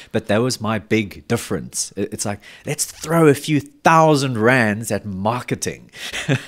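The recording is very clean with a silent background. A man speaks at a medium pitch with ordinary pitch variation. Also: fairly slow pace. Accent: South African. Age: 30s. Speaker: metal festival promoter. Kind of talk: casual chat. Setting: studio.

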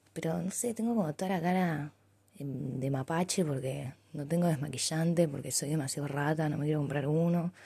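With a very deep, low pitch and a dark, mellow tone, a woman speaks somewhat breathily at a moderate pace with ordinary pitch variation. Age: 20s. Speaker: university student. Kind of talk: audio diary.

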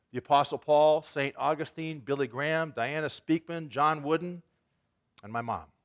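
A man with an unremarkable speaking voice talks at a moderate pace, with a fairly high pitch and fairly even intonation but big swings in loudness. The recording is very clean, with a silent background, and the sound is dry and close with no echo. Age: 60s. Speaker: pastor. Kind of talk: sermon. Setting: church.

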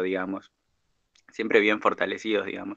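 This man's voice sits at a fairly low pitch. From Argentina. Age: 20s. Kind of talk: interview. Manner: halting, many fillers.

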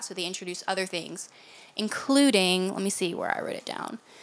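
With lively intonation, a woman talks in a Southern US accent. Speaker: podcast co-host. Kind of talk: casual chat.

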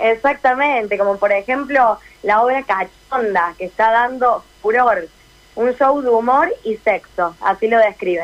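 A woman with a Córdoba Argentine accent talks at a fairly slow pace, her fairly high pitch showing ordinary variation. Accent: Cordoba tonada. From Córdoba, Argentina. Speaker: radio correspondent and dancer. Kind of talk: radio interview.

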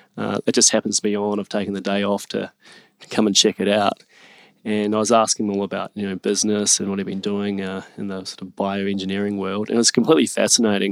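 Speaking with a New Zealand accent, a man talks at a very fast pace with a fairly low pitch. His intonation stays monotone and flat on a very clean recording with a silent background. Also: dry, close sound with no echo. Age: 30s. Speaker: startup entrepreneur. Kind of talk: interview conversation.

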